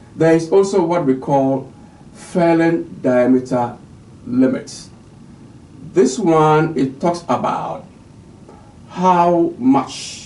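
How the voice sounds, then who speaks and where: Very slow speech with long, frequent pauses, ordinary pitch variation and audible room echo. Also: man. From Ghana. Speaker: forestry official giving a lecture. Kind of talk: recorded lecture. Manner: hesitant, with frequent fillers.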